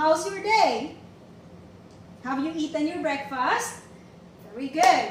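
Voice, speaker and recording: Over light background noise and audible room echo, a woman speaks at a fairly slow pace with very wide pitch swings. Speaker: teacher giving a demo lesson. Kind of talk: classroom lesson. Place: classroom. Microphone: camera far.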